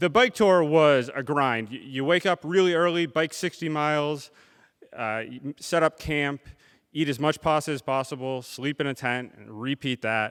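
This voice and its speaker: Here is a man with an unremarkable speaking voice, fairly high-pitched, at a moderate pace. The sound is dry and close with no echo, on a very clean recording with a silent background. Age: 30s. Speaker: storyteller. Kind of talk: live storytelling performance. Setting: live theater audience.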